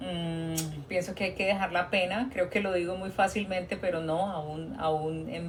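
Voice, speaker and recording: Against noticeable background noise, a woman speaks fairly slowly at a fairly low pitch. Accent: Colombian. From Colombia. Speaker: nurse. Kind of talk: live stream Q&A talk. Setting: TikTok live stream. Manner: conversational, hesitant fillers.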